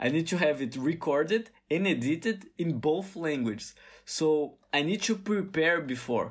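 Loudness stays very even as the speaker talks at a fairly slow pace with a Brazilian Portuguese accent. The recording is very clean, with a silent background. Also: man, fairly high pitch for a man, lively intonation. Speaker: podcast host, engineering student. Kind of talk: casual solo monologue. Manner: halting, frequent repetitions.

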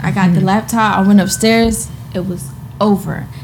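Noticeable background noise surrounds a woman with an American accent whose medium pitch shows ordinary variation. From New Jersey, Trenton. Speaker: marketing entrepreneur and influencer. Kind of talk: casual chat.

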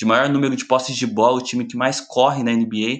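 This man talks in a monotone, flat intonation. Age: 20s. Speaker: sports journalist. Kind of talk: casual chat.

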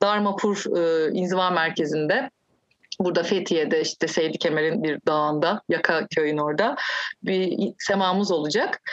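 A woman's normal speaking voice at a fairly slow pace. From Turkey. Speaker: musician and Sufi practitioner. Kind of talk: casual chat.

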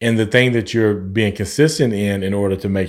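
A man with an American accent talks at a fairly quick pace in a fairly low pitch with ordinary pitch variation, on a very clean recording with a silent background. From Oklahoma. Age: 40s. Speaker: podcast host. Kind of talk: casual interview. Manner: animated.

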